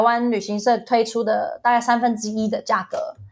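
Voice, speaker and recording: A woman with a fairly high voice speaks at a moderate pace, and background noise is noticeable. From US (ages 2 to 11), then Taiwan. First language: English (speaking Chinese). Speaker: travel agency owner and former English teacher. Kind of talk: casual interview chat.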